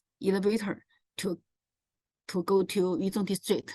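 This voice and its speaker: A woman with a Chinese accent speaks fairly slowly at a medium pitch. The sound is dry and close, with no echo. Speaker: presenter on local transport. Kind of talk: presentation. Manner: halting.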